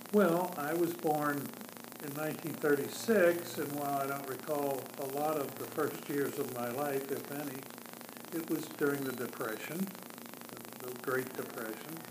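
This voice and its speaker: A man speaks at a fairly slow pace, his pitch fairly high with ordinary variation. There is audible room echo and noticeable background noise. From US Midwest, Cincinnati, Ohio. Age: 70s. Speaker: interviewee. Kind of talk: oral history interview. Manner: quiet; halting.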